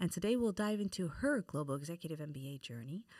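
A woman speaks at a fairly quick pace. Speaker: podcast host. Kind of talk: interview.

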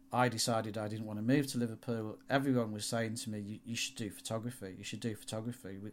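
A man with a Yorkshire accent talks at a very fast pace with fairly even intonation and hardly any pauses. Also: medium pitch for a man. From northern England, York. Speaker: automotive photographer. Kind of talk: interview.

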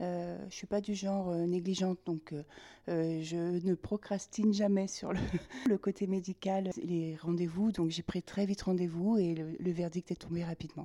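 A woman's fairly low, dark and mellow voice, flat and monotone, fairly slow, with a dry, close sound and no echo. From France, Limousin. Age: 50s. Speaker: cancer patient. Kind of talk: casual chat. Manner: halting.

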